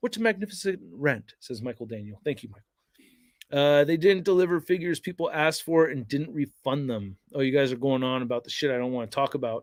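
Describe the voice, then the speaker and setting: With an American accent, a man speaks at a very fast pace in a fairly high pitch, with big swings in loudness. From Northern California suburbs. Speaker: toy reviewer YouTuber. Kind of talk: livestream chat. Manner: energetic.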